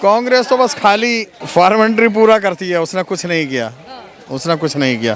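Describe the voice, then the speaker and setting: A man with a high pitch speaks over noticeable background noise. His pitch swings very widely. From Delhi. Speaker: passerby interviewee. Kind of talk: vox pop street interview.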